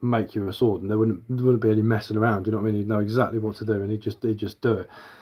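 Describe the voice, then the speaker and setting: A man with an English accent. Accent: English, that is how I speak. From southern England. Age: 40s. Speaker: bushcraft livestreamer. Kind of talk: casual livestream chat. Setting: live stream. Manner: casual, chatty.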